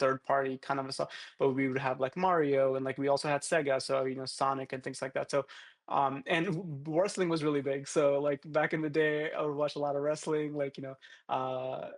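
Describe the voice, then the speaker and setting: The voice moves at a fairly quick pace with monotone, flat intonation. The sound is dry and close with no echo, over a quiet background. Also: man. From India, Hyderabad (Telangana), moved to US as a child. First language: Telugu. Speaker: creative director, branding agency founder. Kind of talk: podcast interview. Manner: casual, many fillers and restarts.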